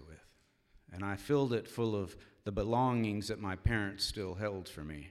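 An American accent comes through from a man with an unremarkable speaking voice and a fairly low pitch. His pace is moderate and his pitch variation ordinary. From Cincinnati, Ohio. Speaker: storyteller. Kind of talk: live storytelling. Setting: stage with audience in a church.

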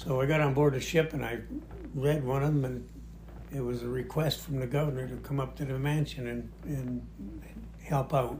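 With noticeable background noise behind him, a man speaks at a moderate pace in an American accent. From northern Michigan. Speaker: Coast Guard veteran and storyteller. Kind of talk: storytelling. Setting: home recording.

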